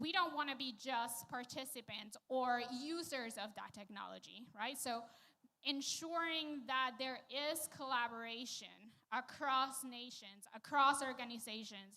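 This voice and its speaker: A woman with a high pitch projects a bright, sharp tone in a raised voice at a fairly slow pace. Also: ordinary pitch variation. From Venezuela. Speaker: panelist, quantum scientist. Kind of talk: panel discussion.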